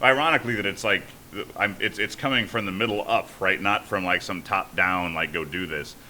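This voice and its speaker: Over noticeable background noise, a man talks at a fairly quick pace, his pitch fairly low with ordinary variation. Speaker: startup founder and CEO. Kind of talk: podcast interview. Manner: halting.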